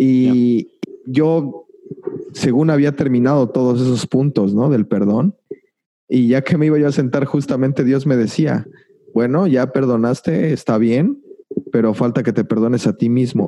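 Medium-pitched male voice with a dark, mellow tone, ordinary pitch variation and a fairly slow pace. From Mexico. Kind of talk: interview.

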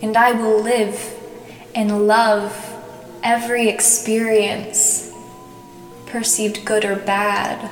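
Over background music, a woman with a fairly high pitch speaks very slowly in a soothing, calm tone, her intonation flat and monotone, with long, frequent pauses. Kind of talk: guided meditation. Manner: slow, soothing, calm; gentle, with long pauses between phrases.

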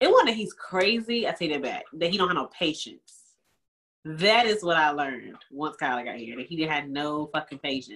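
Her pitch very deep and low, a woman speaks at a moderate pace in an animated tone with lively intonation. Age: 20s. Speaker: podcast co-host. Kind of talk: casual chat.

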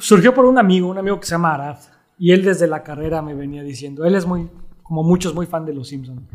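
This man's pitch is high and his pace very fast. His loudness swings widely. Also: ordinary pitch variation. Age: 40s. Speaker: illustrator. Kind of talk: casual chat.

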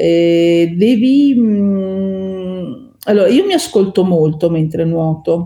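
A woman's dark, mellow tone at medium pitch, with ordinary pitch variation. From northern Italy, Veneto (Bassano del Grappa, Vicenza). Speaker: lawyer and open-water swimmer. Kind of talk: podcast interview.

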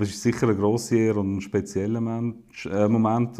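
With a Swiss German accent, a man at medium pitch speaks at a moderate pace in a dark, mellow tone, his intonation monotone and flat. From Switzerland, eastern (St. Gallen, Wil). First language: Swiss German (speaking German). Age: 30s. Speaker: politician. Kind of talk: casual conversation.

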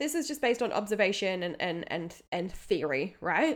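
A woman at a medium pitch with an animated tone. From England and Australia. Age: 30s. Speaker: podcast host, nutritionist and counsellor. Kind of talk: solo podcast talk.

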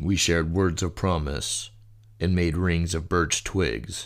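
A man's very deep, low voice with vocal fry, a solemn, theatrical tone and fairly even intonation at a fairly slow pace, on a very clean recording with a silent background. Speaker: poetry reader. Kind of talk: fantasy epic poem reading, dramatic reading aloud of journal entries and verse dialogue. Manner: solemn, theatrical, voicing different characters with grave intensity.

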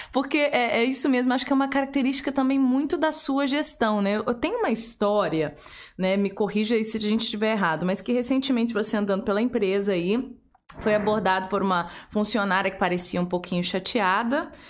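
Noticeable background noise sits behind a woman with a fairly high-pitched voice. She talks at a fairly quick pace with lively intonation. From Curitiba, Brazil. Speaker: podcast host. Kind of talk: casual interview. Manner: animated.

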